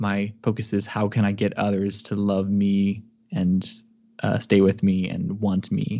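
A man with a Midwestern American accent, a fairly low pitch and a dark, mellow tone, speaking in a flat monotone at a fairly slow pace against a quiet background. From US Midwest. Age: 20s. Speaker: computer engineer. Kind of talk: casual chat. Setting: video call.

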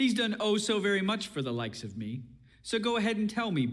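This is a natural reading voice. It sounds like someone reading aloud in a natural way.

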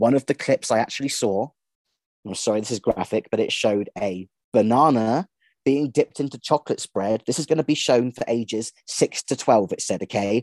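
Over a quiet background, a man talks at medium pitch with ordinary pitch variation. It is an ordinary speaking voice, with a dry, close sound with no echo. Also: fairly quick pace. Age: 30s. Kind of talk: interview.

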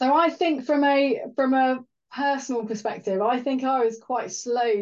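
A woman speaks with a Welsh accent at a moderate pace. Her pitch varies in an ordinary way against a quiet background. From Wales. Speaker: rail engineering director. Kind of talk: interview.

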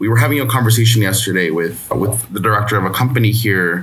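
A man talks at a medium pitch with ordinary pitch variation. Noticeable background noise runs behind him. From Ciudad Juarez, Mexico. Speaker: poet and playwright. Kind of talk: poetry reading.

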